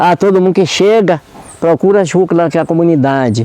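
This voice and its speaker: A man's fairly high-pitched voice with lively intonation, amid noticeable background noise. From Brazil, Minas Gerais countryside. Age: 70s. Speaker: community leader and farmer. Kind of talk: interview. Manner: halting.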